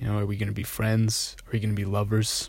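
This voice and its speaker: A man's fairly low voice, somewhat breathy, at a moderate pace. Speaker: solo podcaster. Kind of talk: personal monologue. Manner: hesitant, many fillers.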